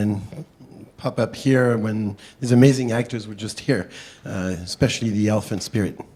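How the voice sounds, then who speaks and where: With a French accent, a man talks fairly quickly in a dark, mellow tone at a fairly low pitch that varies in an ordinary way. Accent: French accent, can't get rid of it. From France. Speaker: state legislator. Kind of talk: panel discussion. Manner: hesitant, many fillers; talkative.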